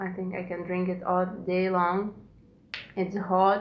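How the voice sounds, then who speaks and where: Speaking at a fairly slow pace with a Lithuanian accent, a woman is heard against audible room echo. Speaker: knitting podcaster. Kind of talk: casual podcast monologue. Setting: at home.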